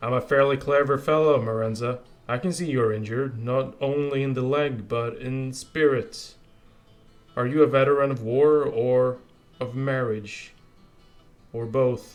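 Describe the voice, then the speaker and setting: Using a booming put-on character voice, a man talks at a moderate pace and medium pitch with fairly even intonation and long, frequent pauses. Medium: read story. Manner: merry, expansive, genial.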